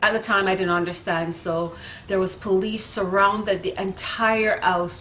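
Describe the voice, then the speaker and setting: A woman at a medium pitch and moderate pace, with ordinary pitch variation, noticeable background noise and audible room echo. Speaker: vlogger. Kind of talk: storytelling monologue. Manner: casual, with filler words.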